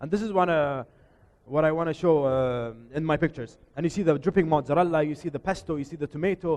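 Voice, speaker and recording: Speaking very fast, a man with a fairly high pitch talks with an Arabic accent. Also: ordinary pitch variation. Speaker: photographer and chef giving a workshop. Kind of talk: workshop presentation. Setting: showroom workshop with live audience. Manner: loud; informal, hesitant with repetitions.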